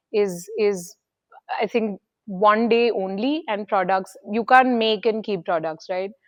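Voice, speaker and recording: At a very slow pace, a woman speaks in a fairly high voice with ordinary pitch variation. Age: 30s. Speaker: business founder. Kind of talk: interview. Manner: hesitant, many fillers.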